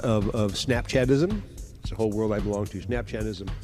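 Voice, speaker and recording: Over music in the background, a man with a fairly low pitch speaks at a fairly quick pace. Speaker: live show host. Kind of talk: casual live stream talk to viewers.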